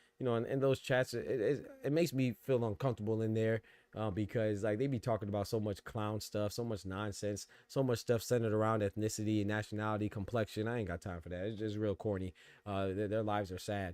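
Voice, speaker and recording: A man rushes along at a very fast pace in a fairly low pitch with fairly even intonation, on a very clean recording with a silent background. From New York. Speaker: boxing podcast host. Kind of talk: casual live-stream commentary. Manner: fast talker; halting, many repeated words.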